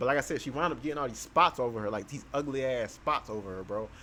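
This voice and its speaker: This man's voice sits at medium pitch. It shows ordinary pitch variation. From New Jersey. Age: 20s. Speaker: YouTuber. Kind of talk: storytelling monologue. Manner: casual, filler-heavy.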